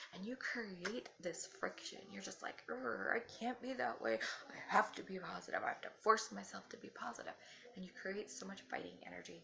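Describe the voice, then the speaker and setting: Over noticeable background noise, a soft-spoken woman talks at a moderate pace with big swings in loudness. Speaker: spiritual vlogger. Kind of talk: casual talk to camera. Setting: at home.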